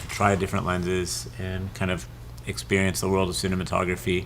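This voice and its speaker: At a fairly quick pace, a man with an American accent speaks in a very deep, low pitch. Room echo is audible. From Southern California. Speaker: lens company host. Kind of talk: interview.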